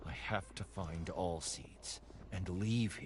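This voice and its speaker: Over clear background noise, a put-on character voice speaks at a very slow pace. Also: man. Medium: game stream. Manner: earnest, emotional.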